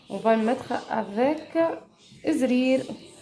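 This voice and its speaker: A soft-spoken woman talks at a very slow pace with ordinary pitch variation. Audible room echo and noticeable background noise fill the recording. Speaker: home cooking vlogger. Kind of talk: cooking tutorial. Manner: halting, many hesitations.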